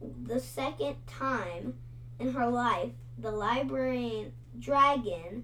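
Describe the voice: Plain reading aloud of a text.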